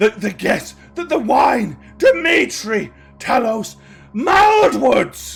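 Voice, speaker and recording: A man uses a put-on character voice pitched extremely high. He goes at a very slow pace, with faint music in the background. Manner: muttering, rambling.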